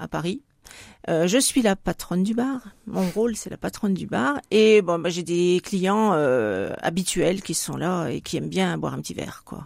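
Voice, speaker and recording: With vocal fry and lively intonation, a woman speaks at a fairly slow pace and a fairly low pitch in a very clean recording with a silent background. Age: 60s. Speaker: retired hospital worker and association president. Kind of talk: radio interview. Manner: hesitant, with fillers.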